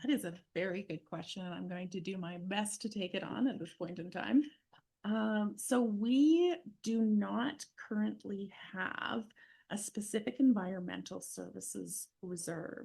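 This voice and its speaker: Somewhat breathy and medium in pitch, a woman speaks at a fairly slow pace. Her pitch variation is ordinary, and her loudness swings widely. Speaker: municipal finance staff. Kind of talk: council meeting.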